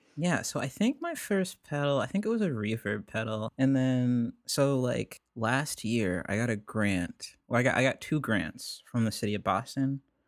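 Speaking at a moderate pace with hardly any pauses, a man uses a medium pitch and lively intonation, captured in a very clean recording with a silent background and a dry, close sound with no echo. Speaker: singer-songwriter. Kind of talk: casual chat.

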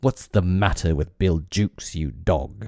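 A man puts on a hissing, menacing character voice, very deep and low, at a moderate pace. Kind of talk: commanding.

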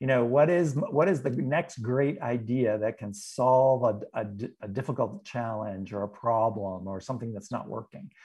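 A man of medium pitch speaks at a moderate pace with ordinary pitch variation. His voice is somewhat breathy with a dark, mellow tone. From New England. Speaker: leadership expert and author. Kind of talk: interview conversation.

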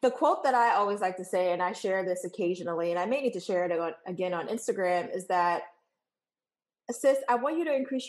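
A woman talks at a fairly quick pace with lively intonation. Hers is an unremarkable speaking voice. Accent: American. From New York. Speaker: photographer and business coach. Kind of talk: interview conversation.

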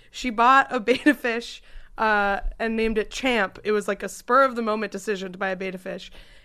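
An unremarkable speaking voice talks at a fairly quick pace with fairly even intonation. The background is quiet. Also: woman, fairly high pitch for a woman. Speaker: podcast host and comedian. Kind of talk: casual comedy podcast chat. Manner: laughing, chatty, interjecting.

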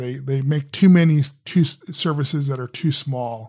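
With an American accent and a somewhat breathy, fairly high voice, a man speaks at a moderate pace and ordinary pitch variation on a very clean recording with a silent background. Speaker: software architect and author. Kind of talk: interview.

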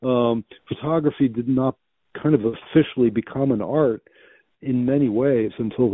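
At a moderate pace, a man speaks in an unremarkable speaking voice with fairly even intonation. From Belgium, raised in US from childhood. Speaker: writer. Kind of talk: interview. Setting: phone call.

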